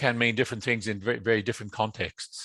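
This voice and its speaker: This is a man with an Australian accent. His pitch sits at medium. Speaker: asset management consultant. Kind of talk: webinar presentation. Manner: halting, many fillers and repetitions.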